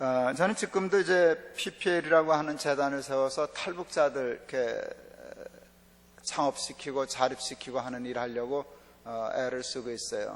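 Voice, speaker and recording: A man with a slight North Korean accent, fairly high in pitch, at a moderate pace with ordinary pitch variation. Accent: underlying North Korean intonation. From South Korea, family from North Korea. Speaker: pastor. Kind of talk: sermon. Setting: church revival meeting.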